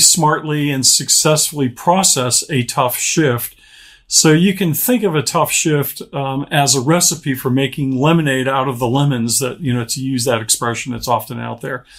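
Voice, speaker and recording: On a very clean recording with a silent background, a man with a plain, everyday voice and an American accent speaks at a fairly high pitch with ordinary pitch variation. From Pittsburgh, Pennsylvania. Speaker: author and speaker. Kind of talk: interview.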